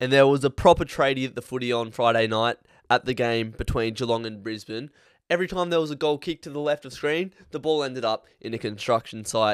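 A man with an Australian accent talks at a very fast pace in a medium pitch with ordinary pitch variation, recorded dry and close with no echo on a very clean track with a silent background. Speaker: AFL podcast host. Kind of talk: casual sports chat.

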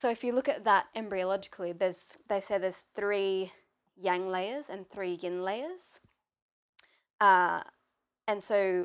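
A woman's medium-pitched voice with an Australian accent, at a fairly slow pace with fairly even intonation, big swings in loudness and long, frequent pauses, in a very clean recording over a silent background. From Australia, Maitland NSW. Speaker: yoga teacher. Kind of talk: interview chat.

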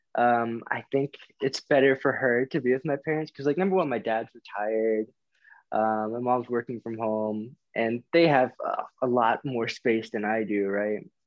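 A man talks at a moderate pace in a medium pitch with ordinary pitch variation. He has a plain, everyday voice. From US South, Florida and Alabama. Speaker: podcast guest, friend of host. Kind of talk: casual chat.

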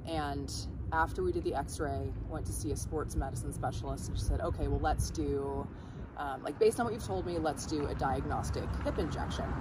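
Her pace is fairly quick. Both room echo and background noise can be heard around this woman's voice. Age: 30s. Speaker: CrossFit coach. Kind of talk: casual interview. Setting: in-person at a gym.

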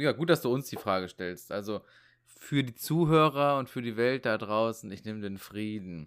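A man with a normal speaking voice talks at a medium pitch and moderate pace, with ordinary pitch variation. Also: very clean recording, silent background. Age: 30s. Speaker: podcast guest. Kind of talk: casual chat.

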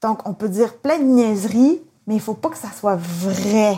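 A woman talks at a very slow pace with a fairly high pitch. Her tone is dark and mellow, and somewhat breathy. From Quebec. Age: 40s. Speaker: interviewee with Asperger syndrome. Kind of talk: interview.

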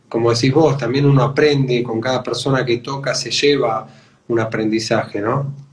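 The speech has monotone, flat intonation at a moderate pace, with noticeable background noise. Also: man, medium pitch for a man. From Argentina, Buenos Aires. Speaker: radio host and percussionist. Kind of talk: radio interview.

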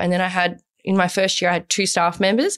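A woman's normal speaking voice, medium in pitch, at a fairly quick pace. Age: 20s. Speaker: business founder. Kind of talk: casual chat. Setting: studio.

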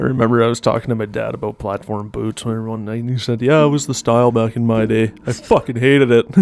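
A man's deadpan delivery at a very fast pace, with hardly any pauses. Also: medium pitch for a man. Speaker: guest on podcast. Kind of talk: casual banter chat. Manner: deadpan, joking.

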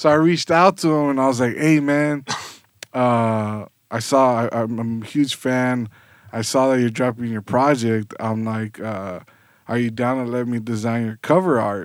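In a plain, everyday voice, a man with an American accent speaks at medium pitch with ordinary pitch variation. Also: moderate pace. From Southgate, Los Angeles area, California. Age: 30s. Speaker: graphic designer and creative business owner. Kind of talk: podcast interview.

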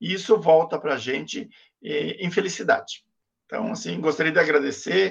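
Pitch varies in an ordinary way. The speaker is a man with a high voice. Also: moderate pace. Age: 50s. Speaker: LGBT activist and professor. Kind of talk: interview.

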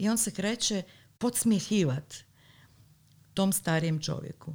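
Somewhat breathy, a woman speaks at a fairly slow pace with lively intonation on a very clean recording with a silent background. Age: 40s. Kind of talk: casual chat.

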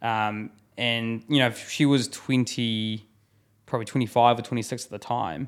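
Recorded very cleanly against a silent background, a man with a New Zealand accent and a medium pitch speaks at a very slow pace. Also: fairly even intonation. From New Zealand (Taranaki, Christchurch). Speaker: business founder. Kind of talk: casual chat. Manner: casual, filler-heavy.

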